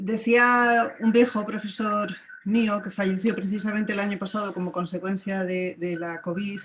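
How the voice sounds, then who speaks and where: A woman at a moderate pace with fairly even intonation, in a Spanish accent. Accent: Spanish (Spain). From Spain. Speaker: academic. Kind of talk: panel discussion comment. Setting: video call.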